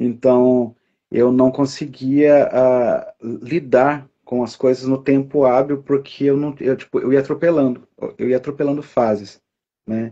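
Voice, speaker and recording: In a dark, mellow tone, a man talks at a fairly slow pace with monotone, flat intonation. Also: medium pitch for a man. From Brazil. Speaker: audiovisual producer, mentee. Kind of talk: interview on live stream. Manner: halting, many repetitions.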